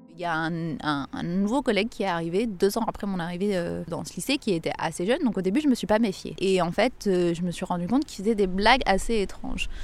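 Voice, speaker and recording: This woman talks at a fairly quick pace, her pitch in the medium range. Her intonation is lively. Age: 30s. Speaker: English teacher. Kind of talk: testimony. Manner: hesitant, with fillers and repetitions.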